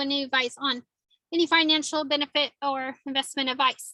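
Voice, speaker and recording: Raised and projected, a woman's high, bright, sharp voice races at a very fast pace in a dry, close sound with no echo. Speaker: presenter on a state savings program. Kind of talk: webinar presentation.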